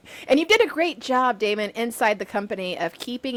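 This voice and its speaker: A woman in a Texan accent talks at a moderate pace with lively intonation. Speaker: podcast host and strengths coach. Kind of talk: casual interview. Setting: video call.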